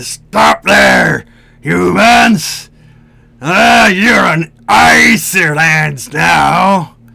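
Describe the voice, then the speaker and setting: With music in the background, a man does a raspy put-on character voice at a fairly high pitch and a very slow pace. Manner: commanding, shouting.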